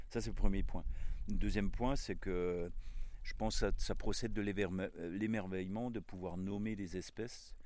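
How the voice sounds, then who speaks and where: The man talks at a fairly slow pace with a fairly low pitch and fairly even intonation. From Alsace, Vosges valley. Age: 60s. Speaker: botanist and former pastor. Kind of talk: casual interview. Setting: outdoors. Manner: halting, many hesitations.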